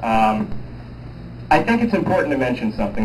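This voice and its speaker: Male speech with ordinary pitch variation, set against noticeable background noise and audible room echo. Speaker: project manager at a renewable energy company. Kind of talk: community meeting presentation. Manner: loud.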